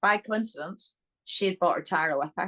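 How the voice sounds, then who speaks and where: The sound is dry and close, with no echo. A woman speaks at a moderate pace. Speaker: interview guest.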